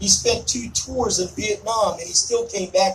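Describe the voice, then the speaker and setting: With an American accent, a man speaks at a fairly quick pace over noticeable background noise. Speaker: army veteran, event host. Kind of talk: ceremony speech to outdoor audience. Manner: loud; forceful, sounds angry to some.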